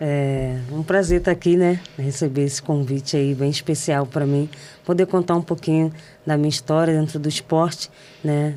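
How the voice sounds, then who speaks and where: A woman's very deep, low voice with a dark, mellow tone, flat and monotone, at a fairly slow pace in a Rio de Janeiro accent. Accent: Rio de Janeiro (carioca). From Brazil, São Gonçalo (Rio de Janeiro state). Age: 30s. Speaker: professional footballer. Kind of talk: interview. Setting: studio.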